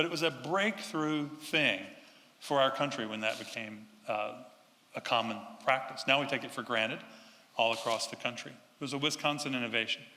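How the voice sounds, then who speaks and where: The speaker talks at a fairly quick pace in a North Carolina accent, with long, frequent pauses. Noticeable background noise runs underneath. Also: man, medium pitch for a man, ordinary pitch variation. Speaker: urban designer. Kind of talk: public talk to audience.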